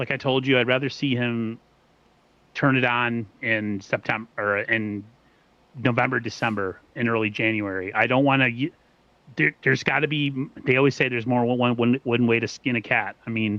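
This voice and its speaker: At a moderate pace, a man with an American accent talks in a medium-pitched voice. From US East Coast. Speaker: sports podcast host. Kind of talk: casual chat. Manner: animated.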